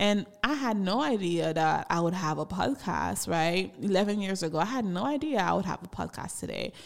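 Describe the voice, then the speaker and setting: In a Haitian accent, a woman with a medium-pitched voice talks at a moderate pace with lively intonation and hardly any pauses. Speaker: podcaster. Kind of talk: personal storytelling monologue. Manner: laughs often.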